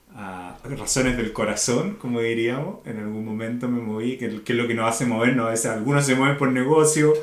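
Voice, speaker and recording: In a Chilean accent, a man speaks fairly quickly at medium pitch with ordinary pitch variation, amid noticeable background noise and audible room echo. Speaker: organizational consultant. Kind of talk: podcast interview.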